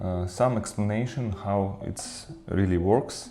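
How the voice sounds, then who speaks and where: A very slow-paced man with a non-native accent, fairly low pitch, ordinary pitch variation, a dark, mellow tone and audible room echo. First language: not English. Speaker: 3D printing maker. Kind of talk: tutorial. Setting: new office. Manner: halting, many fillers.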